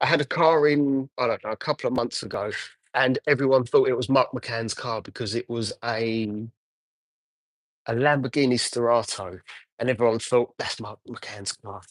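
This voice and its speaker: This man has an English accent. He talks at a medium pitch. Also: moderate pace, quiet background. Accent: English accent, noticeable. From Essex, England. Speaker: car detailer. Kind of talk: live stream chat while working. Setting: detailing unit, livestream. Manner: casual, hesitant with fillers.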